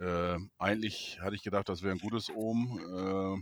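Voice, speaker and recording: In a very clean recording with a silent background, a man uses a plain, everyday voice, talking at a fairly slow pace with a fairly low pitch and ordinary pitch variation. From Neustadt in Holstein, northern Germany. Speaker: football fan podcast host. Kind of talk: casual chat.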